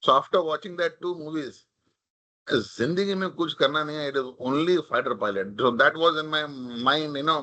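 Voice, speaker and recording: A man's fairly high voice has a bright, sharp tone and ordinary pitch variation. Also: moderate pace. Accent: Marathi. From India, Mumbai (Maharashtra). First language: Marathi. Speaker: corporate leader, invited speaker. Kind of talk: talk at a leadership event. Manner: casual, code-switching Hindi and English.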